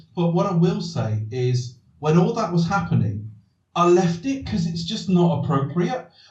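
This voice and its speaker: Amid audible room echo, a man with a high pitch speaks at a moderate pace with lively intonation. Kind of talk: casual podcast chat. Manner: soothing, soporific.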